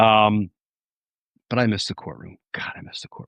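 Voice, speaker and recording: A man with a New Jersey accent, fairly low in pitch and moderate in pace, in a dry, close recording with no echo and a quiet background. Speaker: former trial prosecutor turned political commentator. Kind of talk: livestream commentary. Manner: conversational.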